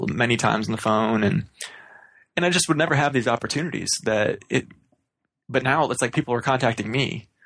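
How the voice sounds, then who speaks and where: A man with an ordinary speaking voice, medium in pitch and fairly quick in pace. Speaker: podcast host. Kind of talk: casual chat. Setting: remote recording.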